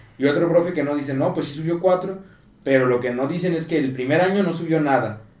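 A man speaks at a very fast pace. Audible room echo is present. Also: fairly high pitch for a man, ordinary pitch variation. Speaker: podcast co-host. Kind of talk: casual chat.

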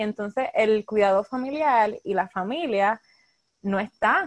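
This woman has a normal speaking voice, fairly high in pitch with ordinary pitch variation, and the sound is dry and close with no echo. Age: 20s. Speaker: clinical social worker. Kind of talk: interview.

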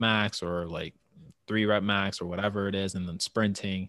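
This man's voice is fairly low, delivered in a monotone, flat intonation. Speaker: podcast host, gym trainer. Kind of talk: casual chat.

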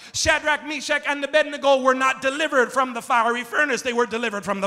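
A man's raised, projected voice, extremely high in pitch, with ordinary pitch variation, a fairly quick pace, and noticeable background noise. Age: 30s. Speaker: pastor. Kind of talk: impassioned Pentecostal-style sermon climax, call-and-response with congregation. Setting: church sanctuary with congregation. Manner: rising, emphatic preaching cadence with repeated phrases; dramatic storytelling, acting out characters' voices.

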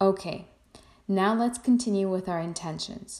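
Ordinary pitch variation in plain reading aloud

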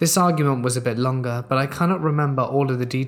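Ordinary pitch variation runs through this plain reading aloud.

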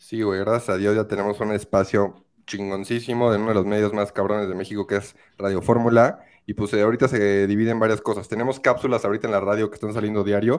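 Very clean recording, silent background. A man with a central Mexican accent speaks very fast at a fairly low pitch. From Mexico, Querétaro. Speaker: sports betting tipster. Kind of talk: casual chat. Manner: animated.

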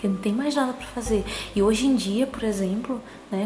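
Through noticeable background noise and audible room echo, a woman speaks in a calm tone at a fairly high pitch. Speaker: podcaster. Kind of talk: personal monologue. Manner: calm, sleepy-sounding.

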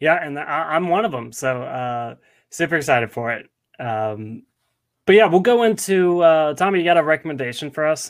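In a normal speaking voice, a man with an American accent talks at a moderate pace with lively intonation and a fairly high pitch. The recording is very clean, the background silent. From US South, Nashville, Tennessee. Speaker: podcast host. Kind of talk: casual chat.

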